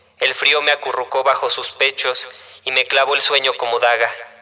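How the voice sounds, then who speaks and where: With noticeable background noise behind him, a man speaks at a medium pitch and moderate pace in a monotone, flat intonation. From Mexico, Mexico City. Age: 20s. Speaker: poet. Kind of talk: poetry reading.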